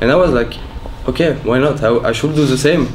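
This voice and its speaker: Audible room echo and noticeable background noise fill the recording. A man with a French accent talks at a fairly quick pace. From France. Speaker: professional esports player. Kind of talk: interview.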